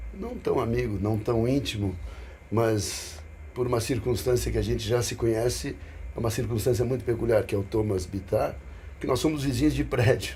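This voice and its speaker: A man's moderately paced speech carries an audible echo from the room. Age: 60s. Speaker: businessman and investor. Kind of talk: casual podcast conversation.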